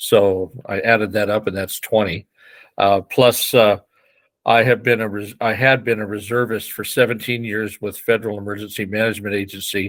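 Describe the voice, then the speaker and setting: A man speaks at a moderate pace in a fairly low, flat monotone, recorded very cleanly against total silence. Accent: Pacific Northwest. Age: 70s. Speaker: fire commissioner and election candidate. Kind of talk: interview. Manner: halting, with many fillers.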